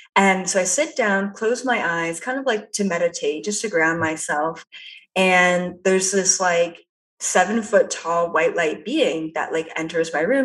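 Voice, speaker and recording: With a Canadian accent and a plain, everyday voice, a woman speaks at a fairly slow pace, with medium pitch and ordinary pitch variation. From Canada. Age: 20s. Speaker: psychic. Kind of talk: interview. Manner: casual, lots of fillers.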